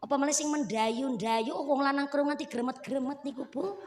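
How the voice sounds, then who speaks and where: Heard with audible room echo, a woman speaks in a high voice with an animated tone and ordinary pitch variation. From Central Java. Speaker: female Islamic preacher. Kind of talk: religious sermon. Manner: humorous, animated.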